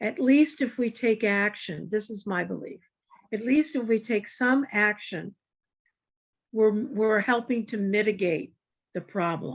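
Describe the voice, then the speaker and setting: The voice is somewhat breathy, with ordinary pitch variation and a fairly slow pace. Long, frequent pauses break it up over a quiet background. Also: woman, fairly high pitch for a woman. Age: 70s. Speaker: community discussion participant. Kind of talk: casual group discussion. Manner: halting.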